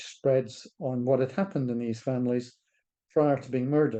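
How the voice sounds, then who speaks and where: This man has a Scottish accent. His pitch sits in the medium range. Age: 70s. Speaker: charity director. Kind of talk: interview talk. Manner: halting.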